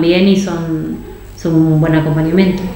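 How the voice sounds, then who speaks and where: A woman speaks at a moderate pace in a monotone, flat way. Noticeable background noise and audible room echo surround her. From Argentina. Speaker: nutritionist. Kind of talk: interview.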